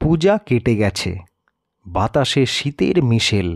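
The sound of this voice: A man with a medium-pitched voice and vocal fry speaks slowly, using big pitch swings. The recording is very clean, with a silent background.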